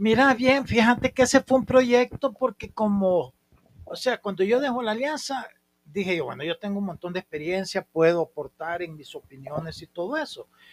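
Lively intonation from a man at a moderate pace, dry and close with no echo. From El Salvador, San Miguel. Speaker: former football club president. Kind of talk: casual interview.

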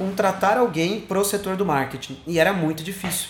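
A man's voice over noticeable background noise. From Sorocaba, São Paulo state, Brazil. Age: 20s. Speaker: social media marketing specialist. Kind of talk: recorded monologue answering interview questions.

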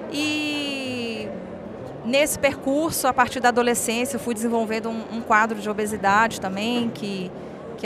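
A woman speaks at a fairly slow pace in a fairly high pitch. Noticeable background noise and audible room echo surround her voice. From northern Minas Gerais, Brazil (Montes Claros). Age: 30s. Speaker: social impact entrepreneur. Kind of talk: emotional life-story interview. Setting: event venue at an expo.

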